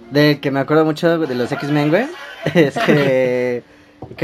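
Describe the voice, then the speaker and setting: A man's fairly high, fairly slow voice with ordinary pitch variation, over music in the background. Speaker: podcast host. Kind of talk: casual chat. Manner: animated.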